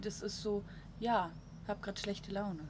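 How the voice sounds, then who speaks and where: Noticeable background noise runs under this recording. A woman speaks with a fairly high pitch and fairly even intonation. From Switzerland. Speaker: podcast host. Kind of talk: casual chat. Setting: on a balcony in Munich.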